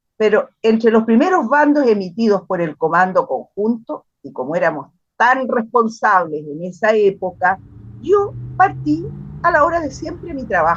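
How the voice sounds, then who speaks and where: At a fairly slow pace, a woman speaks with vocal fry at a medium pitch. Her voice shows very wide pitch swings and big swings in loudness. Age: 70s. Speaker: retired literature teacher. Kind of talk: testimony. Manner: halting, with repetitions.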